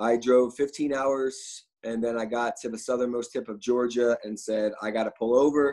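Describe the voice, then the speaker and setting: The speaker uses a normal speaking voice with an American accent. Intonation stays fairly even at a moderate pace. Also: man. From Philadelphia. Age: 30s. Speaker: restaurant owner. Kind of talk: casual interview.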